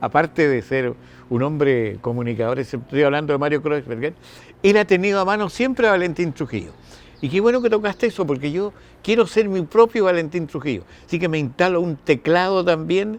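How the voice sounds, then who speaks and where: Moving at a moderate pace, a man in a Chilean accent speaks with very wide pitch swings. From northern Chile. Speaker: radio announcer and TV host. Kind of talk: interview answer.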